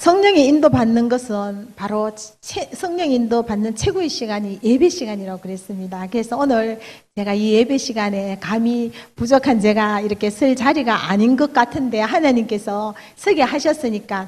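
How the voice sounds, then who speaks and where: Using lively intonation, a woman with a fairly high pitch speaks at a moderate pace in a strong Daegu accent. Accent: Gyeongsang (Daegu) dialect, fairly strong. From Daegu, South Korea. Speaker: church elder, hairdresser. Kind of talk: testimony sermon. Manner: halting, many fillers.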